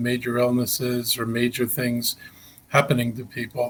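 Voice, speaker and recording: A somewhat breathy man's voice at a medium pitch. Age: 70s. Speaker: county executive, politician. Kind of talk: interview. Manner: halting, many fillers and repetitions.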